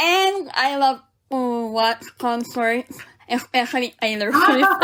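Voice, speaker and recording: A woman speaks in a raised, projected voice at a high pitch. Her pace is very slow, and her intonation is lively. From Philippines (Manila). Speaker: nurse. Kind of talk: interview testimony.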